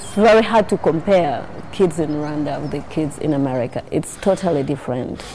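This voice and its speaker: A woman talks at a fairly quick pace with lively intonation in a very deep, low pitch. Noticeable background noise is present. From Rwandan refugee raised in Uganda. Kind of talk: interview testimony.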